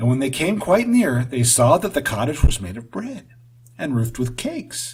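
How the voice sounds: A natural reading voice is heard throughout.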